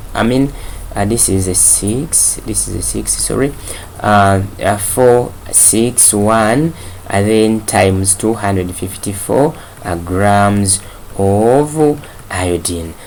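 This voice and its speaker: The speech comes at a very slow pace against noticeable background noise. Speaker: chemistry teacher. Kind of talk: lecture. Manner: hesitant, many fillers.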